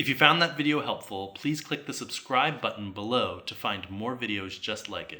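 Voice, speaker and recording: Here a man speaks with a medium pitch and a bright, sharp tone. His intonation is lively, the pace moderate, with hardly any pauses. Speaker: music teacher. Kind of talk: tutorial.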